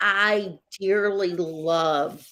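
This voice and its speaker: A woman speaks in a Texas accent. Her pitch is fairly low and her intonation fairly even. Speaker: psychic show co-host. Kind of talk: casual chat.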